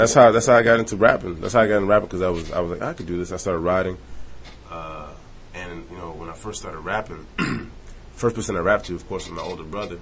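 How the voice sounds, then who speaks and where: A man with a very deep, low pitch and ordinary pitch variation, talking at a very fast pace, with big swings in loudness over noticeable background noise. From Montreal, Canada. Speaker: rapper. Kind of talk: casual interview.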